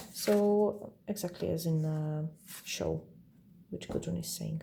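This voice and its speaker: A woman at a very slow pace, with a non-native accent and ordinary pitch variation. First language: not English. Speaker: quilting instructor. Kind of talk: tutorial. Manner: halting.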